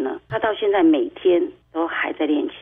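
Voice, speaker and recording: This woman speaks at a fairly high pitch, her voice making very wide pitch swings. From Taiwan, Tainan. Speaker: parent advocate, mother of a blind son. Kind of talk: radio interview.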